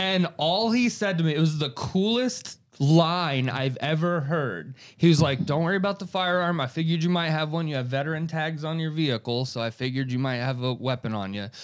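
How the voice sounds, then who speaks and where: A man with an American accent speaks at a fairly quick pace with hardly any pauses, using a normal speaking voice that sits fairly high in pitch and carries lively intonation. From Florida (Gainesville area). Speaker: comedian and podcast host. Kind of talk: casual chat.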